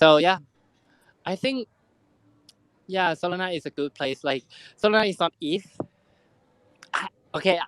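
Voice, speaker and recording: The speaker has a Thai accent. Long, frequent pauses run through the speech. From Thailand. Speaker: NFT project founder. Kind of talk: casual chat. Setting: online audio room. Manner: halting.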